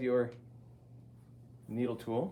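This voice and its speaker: With audible room echo, a man speaks at a fairly slow pace. His medium-pitched voice has a dark, mellow tone and vocal fry. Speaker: ceramics teacher. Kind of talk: classroom demonstration.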